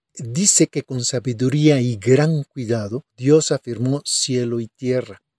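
At a fairly slow pace, the voice has a dark, mellow tone and a dry, close sound with no echo. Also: man. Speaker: pastor. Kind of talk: sermon.

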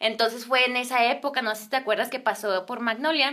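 Bright, sharp tone with fairly even intonation. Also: woman. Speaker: singer and influencer. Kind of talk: casual chat.

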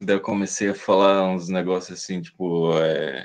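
The background stays quiet. A man talks, his voice showing vocal fry. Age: 30s. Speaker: snuff maker and seller. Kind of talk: casual interview.

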